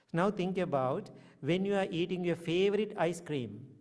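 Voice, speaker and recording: A man with a Sri Lankan accent and ordinary pitch variation. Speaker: Buddhist monk. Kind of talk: dharma talk.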